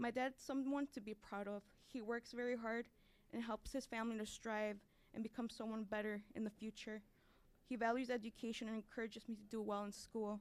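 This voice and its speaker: With a Chicago accent, a woman talks at a fairly quick pace, her fairly high voice held in a monotone, flat intonation. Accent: Chicago American English. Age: 20s. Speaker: college student. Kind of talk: testimony. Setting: stage with audience.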